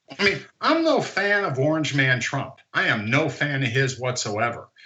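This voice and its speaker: A man speaks at a moderate pace with lively intonation. His pitch sits in the medium range. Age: 60s. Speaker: investor, short-seller. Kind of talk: interview. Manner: animated; repetitive false starts.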